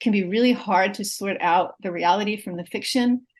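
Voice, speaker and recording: Somewhat breathy, the voice shows ordinary pitch variation over a quiet background. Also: woman. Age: 60s. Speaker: literature professor. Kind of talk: interview conversation.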